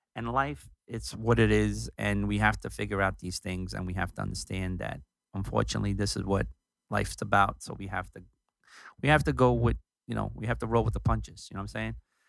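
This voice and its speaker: With very deep, low pitch and vocal fry, a man's voice makes very wide pitch swings and big swings in loudness over a very clean recording with a silent background. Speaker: music producer hosting own show. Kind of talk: casual monologue. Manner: conversational with fillers.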